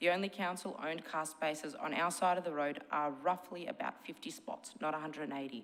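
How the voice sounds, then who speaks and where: Talking at a very fast pace, a woman with an Australian accent has a very deep, low pitch. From Melbourne, Australia. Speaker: shop owner speaking at council meeting. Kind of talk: public submission read from notes.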